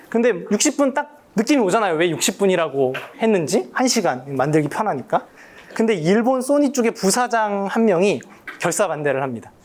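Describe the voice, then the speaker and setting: Speaking at a moderate pace, a man with a high voice makes very wide pitch swings while keeping his loudness very even. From Korea, Daejeon. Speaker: professor. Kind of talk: public lecture. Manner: casual, conversational with fillers.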